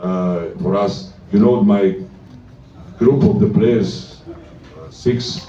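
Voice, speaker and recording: Both audible room echo and noticeable background noise can be heard throughout the clip. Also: man. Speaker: basketball coach. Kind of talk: press conference. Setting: press room with microphone. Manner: loud; halting, many fillers.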